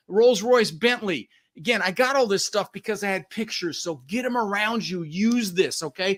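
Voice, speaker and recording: A man talks fairly quickly in a high voice with an animated tone. His pitch varies in an ordinary way. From Denver, Colorado, US (born in the Netherlands). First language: Dutch. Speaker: real estate investor and coach. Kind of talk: podcast interview.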